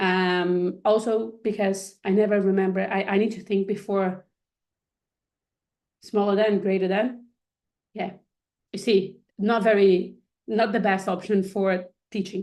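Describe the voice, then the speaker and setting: The speaker has a Portuguese accent and a fairly slow pace. Long, frequent pauses break up the speech. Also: woman. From Brazil. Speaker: coding instructor. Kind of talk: online workshop tutorial. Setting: live video stream with screen share. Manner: hesitant, many fillers and restarts.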